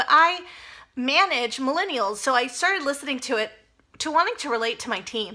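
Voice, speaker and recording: Bright and sharp in tone, the voice is raised and projected. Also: woman. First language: Spanish. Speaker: personal finance vlogger. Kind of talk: casual vlog monologue. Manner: conversational, with fillers and self-corrections.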